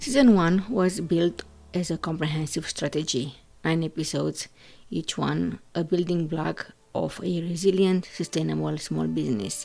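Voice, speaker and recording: A non-native accent at a moderate pace. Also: woman. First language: not English. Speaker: podcast host, business consultant. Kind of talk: podcast monologue.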